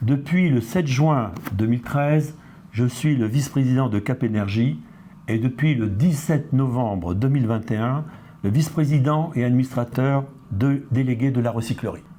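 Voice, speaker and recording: A man's dark, mellow voice at a medium pitch, with ordinary pitch variation, very even loudness and a fairly slow pace. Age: 70s. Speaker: retired industry executive, association vice-president. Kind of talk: testimony. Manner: formal.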